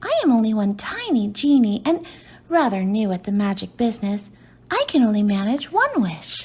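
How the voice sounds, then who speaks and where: A woman's fairly high, put-on character voice at a moderate pace. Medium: read story. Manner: earnest, quick to take offence.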